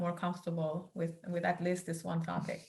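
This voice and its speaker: A woman speaks at a fairly low pitch. Her tone is bright and sharp. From northeast Iran, Turkmen community. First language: Turkmen. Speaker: memoir author. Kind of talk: interview. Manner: halting.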